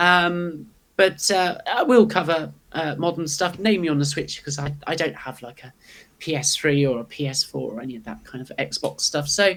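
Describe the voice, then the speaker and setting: A woman with a British accent speaks at a moderate pace with a very deep, low pitch. Her pitch variation is ordinary, while her loudness swings widely. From UK. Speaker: YouTuber and manga artist. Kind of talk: casual chat. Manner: hesitant, many fillers.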